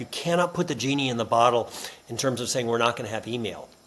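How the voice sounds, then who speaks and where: A man's medium-pitched voice, a plain, everyday voice, with ordinary pitch variation. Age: 60s. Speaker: business author and professor. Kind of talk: podcast interview.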